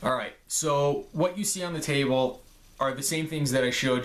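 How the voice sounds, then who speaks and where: A plain, everyday voice at a moderate pace. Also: man. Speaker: gear reviewer, police officer. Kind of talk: show-and-tell gear video.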